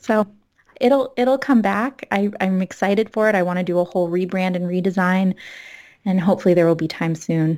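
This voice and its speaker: A woman with an American accent speaks at a fairly quick pace in a normal speaking voice, her medium pitch moving with ordinary variation. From South Florida, then Massachusetts from age fourteen. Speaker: licensed mental health counselor and yoga teacher. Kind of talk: casual chat.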